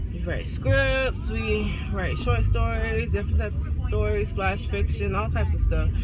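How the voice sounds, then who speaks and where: Loud background noise surrounds a woman talking at a moderate speed. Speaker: student vlogger. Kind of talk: casual vlog chat. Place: car. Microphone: phone near.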